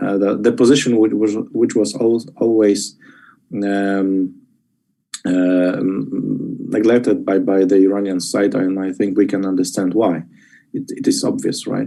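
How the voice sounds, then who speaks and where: A man with a Polish accent, speaking at a fairly slow pace. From Poland. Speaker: policy expert. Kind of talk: expert panel discussion. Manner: halting.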